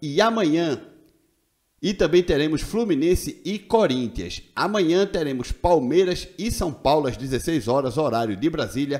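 Against a quiet background, a man speaks with a plain, everyday voice at a fairly high pitch. His intonation is lively and his pace fairly slow. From Brazil. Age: 40s. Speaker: football YouTuber. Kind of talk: casual video commentary. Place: home room. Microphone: studio mic.

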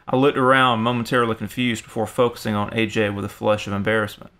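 With a bright, sharp tone, a man of medium pitch speaks at a fairly quick pace in a monotone, flat delivery. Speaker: horror story narrator. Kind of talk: horror story narration, first-person scripted reading. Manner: tense, hushed suspense, building dread; shifts to casual, bantering voices for dialogue.

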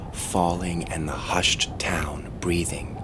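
Very slowly, a man whispers. Noticeable background noise runs underneath. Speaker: actor. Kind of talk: poetry reading.

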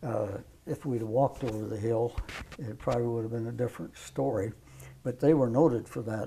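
A man with an American accent speaks in a dark, mellow tone that is somewhat breathy. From US Midwest, south central Nebraska. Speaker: World War II veteran. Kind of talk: elderly veteran's plainspoken wartime recollection in an oral history interview. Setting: filmed interview with microphone. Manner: halting, rambling with fillers and restarts; matter-of-fact, folksy with occasional laughs. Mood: reflective, calm. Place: home room. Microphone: lapel.

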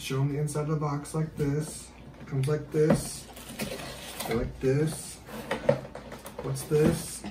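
Against loud background noise, the speech comes very slowly with long, frequent pauses. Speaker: parent unboxing with child. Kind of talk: casual unboxing talk. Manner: soft-spoken. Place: home room. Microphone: camera far.

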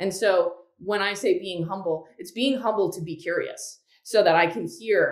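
A woman's voice carries audible room echo over a quiet background. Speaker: guest. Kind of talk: interview answer. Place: home room. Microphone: webcam.

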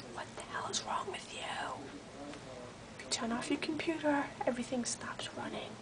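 A woman whispers, keeping a moderate pace and leaving long, frequent pauses. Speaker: office worker. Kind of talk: casual rant to camera. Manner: quiet. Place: office. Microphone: webcam.

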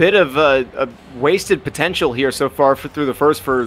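A man with an unremarkable speaking voice talks at a fairly quick pace, his pitch varying in an ordinary way. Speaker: esports color commentator. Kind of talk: live commentary.

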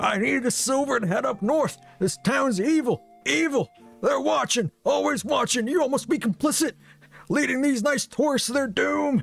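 Over faint music in the background, a man with an extremely high pitch speaks with lively intonation and very even loudness. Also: moderate pace. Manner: frantic, paranoid.

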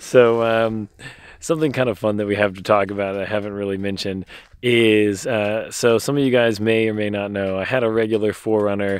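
Over a quiet background, a man with a fairly low pitch speaks in a monotone, flat intonation at a moderate pace, the sound dry with no echo. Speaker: travel vlogger. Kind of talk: casual vlog chat. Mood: cheerful, joking. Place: open country. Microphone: phone near.

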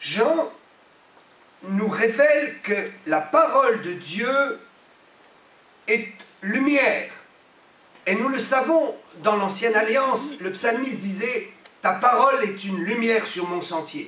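A man's raised, projected voice, extremely high in pitch with lively intonation, at a very slow pace with long, frequent pauses and audible room echo. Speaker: pastor. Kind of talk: sermon, emphatic preaching with repeated phrases and amens. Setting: church. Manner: emphatic, animated, repeating for effect. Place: church. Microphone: podium.

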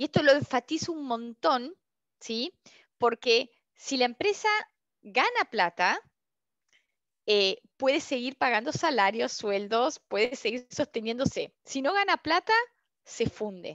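A woman's high pitch with very wide swings, a fairly slow pace and long, frequent pauses, in a dry sound with no echo against a quiet background. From Argentina. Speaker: customer experience consultant and instructor; instructor. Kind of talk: online open class / webinar. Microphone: headset.

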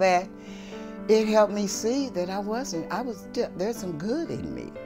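A woman at a fairly slow pace, with clear music in the background. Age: 60s. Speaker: recovering addict, resident advocate. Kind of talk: personal testimonial interview. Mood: grateful, earnest. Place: home room. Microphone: lapel.

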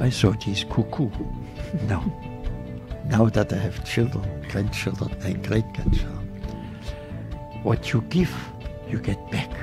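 Over clear background music, a man speaks at a fairly slow pace with long, frequent pauses. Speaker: Holocaust survivor. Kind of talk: interview answer. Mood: earnest, advising. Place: studio. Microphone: studio mic.

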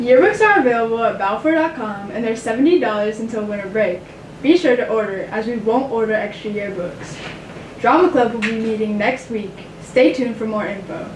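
A woman's voice, moving at a moderate pace and varying in pitch in an ordinary way, is heard with noticeable background noise. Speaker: student news anchor. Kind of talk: school announcements. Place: studio.

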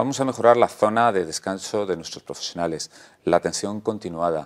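Over a quiet background, a man speaks at a moderate pace. His voice is very deep and low, with ordinary pitch variation. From Spain, Ávila (Castile); Castile, Spain. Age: 50s. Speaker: regional election candidate, politician; election candidate, politician. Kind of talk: election interview. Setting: TV studio. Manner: hesitant with frequent fillers. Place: studio. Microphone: lapel.

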